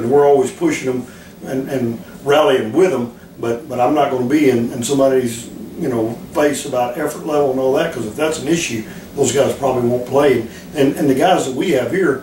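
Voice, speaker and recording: A fairly high-pitched man talks at a fairly quick pace with ordinary pitch variation, his voice echoing audibly in the room amid noticeable background noise. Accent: American. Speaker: football defensive coordinator. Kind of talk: interview. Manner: calm; halting, many repetitions.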